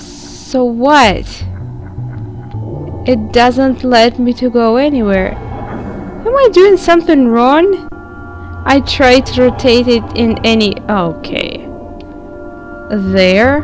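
Over background music, a woman speaks at a very slow pace in a high voice with lively intonation. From Russia. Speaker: gaming video creator. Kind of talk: let's play commentary.

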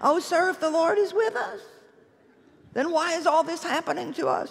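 Using a put-on character voice, a man whines at an extremely high pitch. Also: moderate pace. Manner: whiny, complaining.

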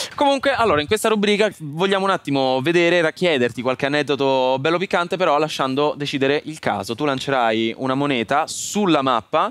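This man speaks at a fairly quick pace with hardly any pauses and lively intonation. His pitch is fairly high, and the sound is dry with no echo. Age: young. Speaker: podcast host. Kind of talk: casual interview. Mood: playful, upbeat. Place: studio.

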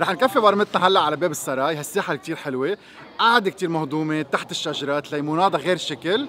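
At a fairly quick pace with hardly any pauses, a man talks with ordinary pitch variation, the sound dry with no echo over light background noise. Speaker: food vlogger host. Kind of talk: casual vlog chat. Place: street.

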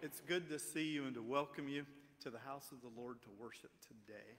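A man speaks at a moderate pace, his intonation fairly level. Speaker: pastor leading worship. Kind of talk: worship welcome and announcements. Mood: warm, welcoming. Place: church.

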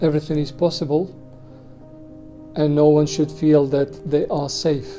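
Over clear background music, a man with a fairly high voice talks at a fairly slow pace. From Bosnia. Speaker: war and concentration camp survivor. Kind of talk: interview answer. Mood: serious, reflective. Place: office.

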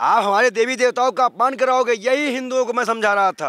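A man's raised, projected voice, bright and sharp in tone and animated, at a moderate pace over a quiet background. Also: dry sound with no echo. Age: 20s. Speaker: ascetic and civil-services aspirant. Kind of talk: street interview, political rant. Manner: loud. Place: open country. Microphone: handheld.

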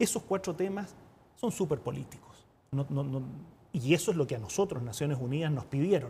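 With a dark, mellow tone that is somewhat breathy, the speaker moves at a fairly quick pace using lively intonation over light background noise. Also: man, fairly high pitch for a man. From Chile. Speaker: UN representative, former politician; former politician. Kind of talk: TV interview. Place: studio. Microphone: lapel.

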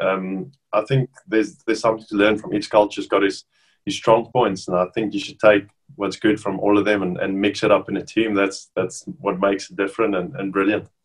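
Against a quiet background, a man with a South African accent talks at a fairly quick pace in a fairly low pitch, his intonation fairly even. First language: Afrikaans. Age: 30s. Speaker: professional rugby player. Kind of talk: casual interview. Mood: relaxed, friendly. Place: home room. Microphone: webcam.

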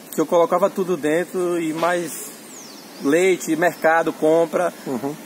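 A man with a high pitch speaks at a fairly slow pace and fairly even intonation. Light background noise is present. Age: 30s. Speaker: motorcycle owner reviewing his bike. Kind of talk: casual review chat. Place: street. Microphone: phone near.

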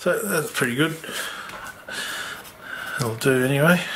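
A man speaks at a fairly slow pace. Some room echo can be heard. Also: fairly bright tone.

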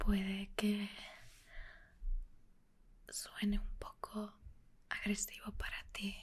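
Soft-spoken and whispering, a woman talks at a very slow pace. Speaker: content creator. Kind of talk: soft roleplay talk to the viewer. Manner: soft intimate ASMR whisper. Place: home room.

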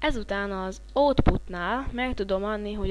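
The recording has audible room echo. The speaker is a woman. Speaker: software tutorial instructor. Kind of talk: screen-recorded tutorial. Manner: halting, with fillers and stumbles.

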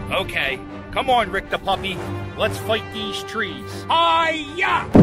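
A man at a very slow pace, with clear music behind him and a dry sound with no echo. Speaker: comedy YouTuber. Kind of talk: comedic parody movie trailer. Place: open country. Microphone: phone near.

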